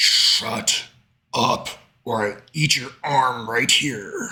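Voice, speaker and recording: A man puts on a raspy, gruff character voice at medium pitch. He speaks at a very slow pace. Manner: menacing.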